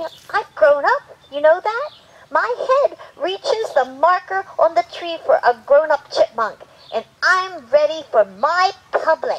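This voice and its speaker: A cartoonish character voice at an extremely high pitch, with very wide pitch swings and a fairly slow pace. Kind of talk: children's puppet show. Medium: puppet. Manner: eager, upbeat.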